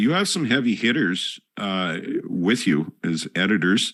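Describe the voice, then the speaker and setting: In a Northern Canadian accent, a man talks at a very slow pace. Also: very clean recording, silent background. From Northern Canada. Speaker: podcast host. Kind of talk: interview. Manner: halting.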